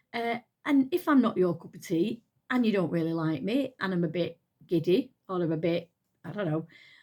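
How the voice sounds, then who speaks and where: Her tone dark and mellow, a woman speaks at a moderate pace with medium pitch, lively intonation and big swings in loudness. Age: 60s. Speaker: retired nurse, lifestyle vlogger. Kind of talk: casual chat. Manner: halting.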